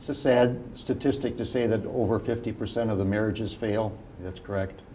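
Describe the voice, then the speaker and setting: With audible room echo, a man speaks at a fairly quick pace in a medium pitch and fairly even intonation. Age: 60s. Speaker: family law attorney, legal clinic volunteer. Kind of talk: TV interview. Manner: hesitant, frequent fillers.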